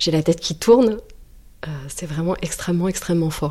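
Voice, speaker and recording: The woman's voice is fairly low in pitch, with a dark, mellow tone. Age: 30s. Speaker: interviewee sharing personal story. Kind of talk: personal testimony.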